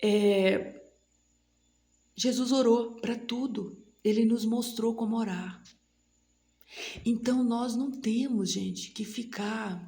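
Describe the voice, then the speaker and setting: Pauses are long and frequent. The delivery crawls along very slowly. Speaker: lay preacher at women's prayer meeting. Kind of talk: sermon. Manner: animated.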